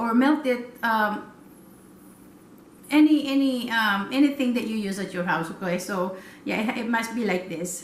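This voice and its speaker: A woman speaks at a moderate pace in a Filipino accent, her fairly high voice carrying lively intonation. Noticeable background noise and audible room echo fill the recording. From Philippines. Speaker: cooking vlogger. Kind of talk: cooking tutorial. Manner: halting, many fillers.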